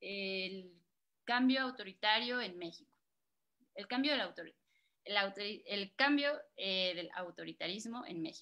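Speaking at a fairly slow pace with long, frequent pauses, a woman uses a medium pitch, a bright, sharp tone, lively intonation and big swings in loudness. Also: quiet background. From Mexico, Guerrero roots. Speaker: moderator, editor; moderator. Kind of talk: storytelling; moderated panel. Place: home room. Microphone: video call.

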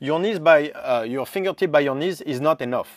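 Speaking with a French accent at a moderate pace, a man uses a fairly high voice with ordinary pitch variation in a very clean recording with a silent background. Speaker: strength coach, movement specialist. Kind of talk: interview answer.

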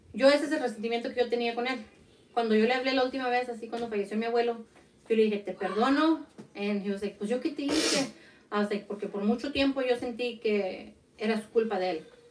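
A woman speaks at a very fast pace. Noticeable background noise is present. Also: fairly high pitch for a woman, ordinary pitch variation. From Mexico (Zacatecas); Mexico. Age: 30s. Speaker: podcast co-host. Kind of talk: casual chat. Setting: livestream. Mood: personal, reflective. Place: home room. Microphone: studio mic.

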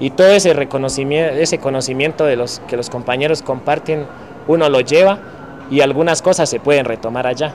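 Light background noise sits behind a man's fairly high voice. He keeps a moderate pace with ordinary pitch variation. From Colombia, Cauca; Colombia. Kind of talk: testimony. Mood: calm, thoughtful. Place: street.

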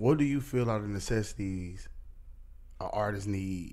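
With a fairly low pitch and ordinary pitch variation, a man talks at a moderate pace. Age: 30s. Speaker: podcast host. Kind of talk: casual interview. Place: studio. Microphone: studio mic.

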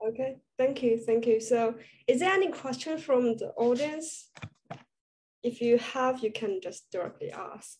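With a Chinese accent, a woman speaks at a high pitch with ordinary pitch variation and long, frequent pauses, over light background noise. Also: fairly slow pace. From China. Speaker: student panel moderator. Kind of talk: panel interview. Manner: halting. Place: home room. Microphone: video call.

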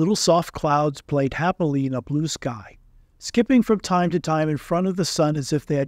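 In a dry, close sound with no echo and a very clean recording with a silent background, a normal speaking voice moves at a moderate pace with lively intonation. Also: man. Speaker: audiobook narrator. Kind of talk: literary audiobook reading aloud. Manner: gentle, storytelling pace with character voices.

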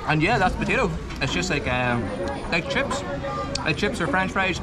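A man talks at a moderate pace. Crowd noise runs in the background. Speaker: travel food vlogger. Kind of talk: casual vlog chat. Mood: enthusiastic, cheerful. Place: cafe. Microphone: phone near.

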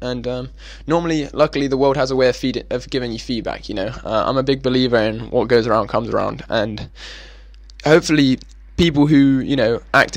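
A man speaks in an ordinary speaking voice at medium pitch and a fairly quick pace. The background is quiet, and the sound is dry with no echo. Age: young. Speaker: podcast host. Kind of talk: casual podcast monologue. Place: home room. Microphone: handheld.

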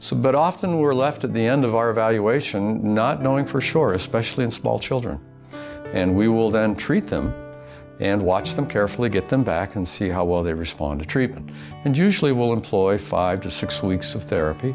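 A man's fairly low-pitched voice at a fairly quick pace, with clear music in the background. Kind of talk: interview answer. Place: office.

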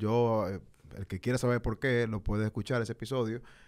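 A man talks against a quiet background. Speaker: podcast host. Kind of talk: heated debate. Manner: casual, laughing. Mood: earnest, personal, somewhat emotional. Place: studio. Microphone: studio mic.

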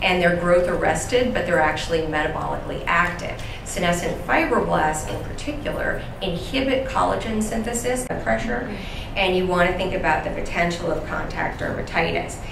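Speaking at a fairly quick pace with hardly any pauses, a woman uses a fairly low pitch. Noticeable background noise and audible room echo fill the recording. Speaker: conference presenter. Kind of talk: lecture. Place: hall.

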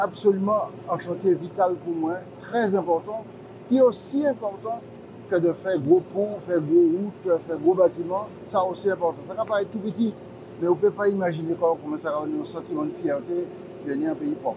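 A man with a high-pitched voice speaks at a moderate pace with lively intonation, the sound dry with no echo and noticeable background noise. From Martinique. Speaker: local politician. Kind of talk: political statement. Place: street. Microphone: lapel.

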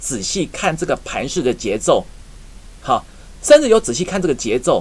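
The pace of this man's speech is fairly quick. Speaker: stock market analyst. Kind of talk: market commentary.

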